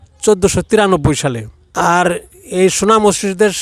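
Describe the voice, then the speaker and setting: The man's voice sits at a high pitch. His intonation stays fairly even. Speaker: local elder. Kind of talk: oral history explanation. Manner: halting.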